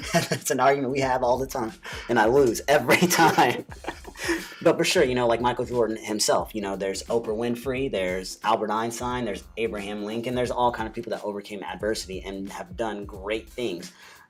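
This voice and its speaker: With music in the background, a man with an American accent talks at a fairly quick pace, medium pitch and ordinary pitch variation. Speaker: podcast co-host. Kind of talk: casual chat. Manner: stutters often.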